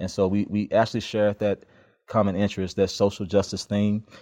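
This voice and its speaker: With a Memphis accent, a man talks at a fairly low pitch in a dry, close sound with no echo against a quiet background. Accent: Southern US (Memphis) English. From Memphis, Tennessee, US South. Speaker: criminal justice PhD candidate, former police officer. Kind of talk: interview conversation. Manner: frequent hesitations and fillers.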